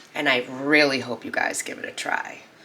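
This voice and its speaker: A woman speaks in an animated tone with a Boston accent. Noticeable background noise runs behind her. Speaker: cooking channel host. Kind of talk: cooking tutorial.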